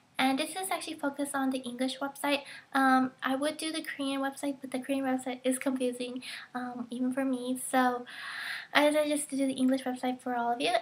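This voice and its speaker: A soft-spoken woman's high-pitched, very fast delivery in a monotone, flat intonation. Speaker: online shopping tutorial vlogger. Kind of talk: screen-recorded tutorial narration. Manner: soft-spoken in places.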